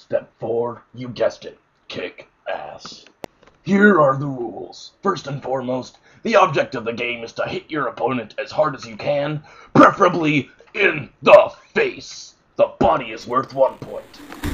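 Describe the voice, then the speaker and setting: Loudness swings a lot while the talking keeps a moderate speed. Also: man, fairly high pitch for a man. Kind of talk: mock sports promo narration. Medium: comedy sketch.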